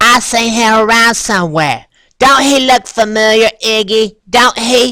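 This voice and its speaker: A fairly high, put-on character voice at a fairly slow pace. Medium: read story. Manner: talks out of the side of her mouth.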